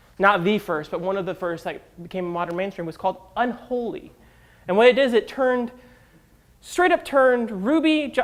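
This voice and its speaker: A man's high-pitched voice moves with lively intonation. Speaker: conference speaker, software developer. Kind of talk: tech talk to live audience. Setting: stage with audience. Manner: fast; casual, filler-heavy.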